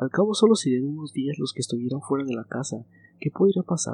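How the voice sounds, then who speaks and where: Dry and close with no echo, a plain, everyday voice moves at a fairly quick pace. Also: man. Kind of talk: ghost story narration, hushed bedtime storytelling read aloud to help listeners relax.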